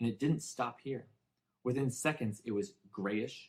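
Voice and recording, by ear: Reading aloud in a natural voice, quiet surroundings behind it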